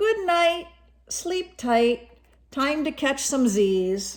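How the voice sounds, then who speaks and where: A woman's put-on character voice, high in pitch with very wide pitch swings at a very slow pace. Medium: read story. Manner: laid-back, groovy.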